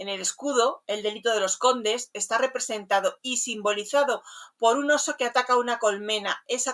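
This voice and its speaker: Delivered at a moderate pace, a normal speaking voice moves with fairly even intonation. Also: woman. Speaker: radio host. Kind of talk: radio show presentation.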